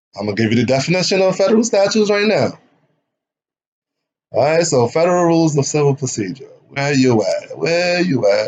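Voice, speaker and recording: A man talks at a fairly quick pace with a high pitch and very wide pitch swings. Long pauses come often. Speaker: online legal commentator. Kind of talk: lecture. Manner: varying loudness, sometimes raises voice; casual, conversational. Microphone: poor microphone, uneven volume.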